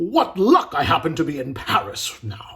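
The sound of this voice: In a put-on character voice, a man uses a bright, sharp tone at a fairly high pitch, with very wide pitch swings and a fairly slow pace.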